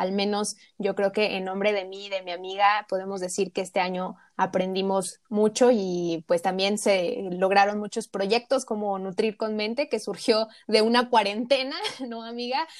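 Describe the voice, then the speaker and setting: With a Mexican accent, a woman speaks at medium pitch and a moderate pace, her intonation fairly even, in a very clean recording with a silent background. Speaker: nutritionist podcast co-host. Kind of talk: casual chat.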